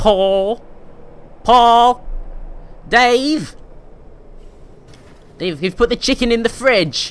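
In a put-on character voice with a British accent, the speaker sounds whiny at a fairly high pitch, going very slowly with long, frequent pauses. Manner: whining, everyday.

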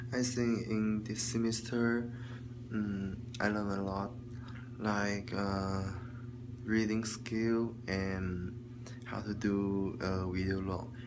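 A man speaks at a very slow pace with a fairly low pitch, leaving long, frequent pauses. His intonation is monotone and flat, and there is noticeable background noise. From China. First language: Chinese. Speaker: student vlogger. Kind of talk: video log monologue, class homework. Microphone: phone near.

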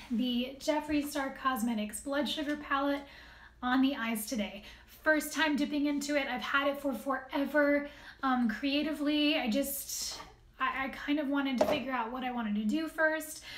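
Against noticeable background noise, a woman with a high pitch speaks at a moderate pace with fairly even intonation. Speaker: beauty vlogger. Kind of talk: casual vlog chat, product review. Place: home room. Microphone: phone near.

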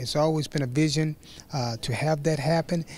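Fairly even intonation marks speech that proceeds at a moderate pace. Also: man. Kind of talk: interview answer. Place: hall. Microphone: handheld.

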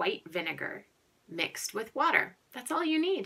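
A woman's voice has a bright, sharp tone. Her pitch swings very widely. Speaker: teacher showing a chore to children. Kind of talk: tutorial. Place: bathroom. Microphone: phone near.

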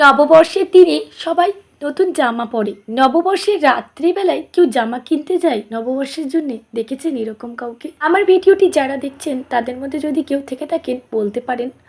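Her high voice full of lively intonation, a woman is speaking. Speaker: family vlogger. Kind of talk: vlog narration. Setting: shopping mall.

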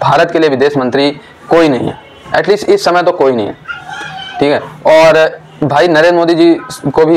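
The man's words come at a fairly quick pace. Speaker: political commentator. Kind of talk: opinion commentary to camera. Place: home room. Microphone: lapel.

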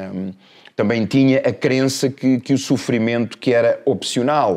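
A man with a European Portuguese accent speaks at a medium pitch with fairly even intonation. His pace is fairly slow, and the background is quiet. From Portugal. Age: 50s. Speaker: life coach. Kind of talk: casual interview chat. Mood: reflective, personal story of loss. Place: studio. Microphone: lapel.

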